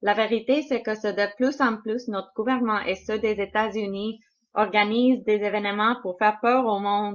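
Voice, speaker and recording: Woman with a non-native accent, fairly high pitch, fairly even intonation and a moderate pace. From Canada. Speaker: conspiracy video maker. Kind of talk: translated commentary. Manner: halting, many hesitations.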